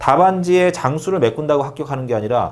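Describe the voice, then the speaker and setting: In a room with audible echo, a man with a fairly high voice talks very fast with lively intonation. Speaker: exam prep instructor. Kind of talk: lecture.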